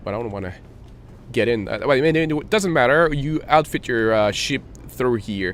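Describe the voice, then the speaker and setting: A man speaks at a moderate pace with a non-native accent. His medium-pitched voice has lively intonation. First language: not English. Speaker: gaming tutorial youtuber. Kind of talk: tutorial. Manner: hesitant, many fillers.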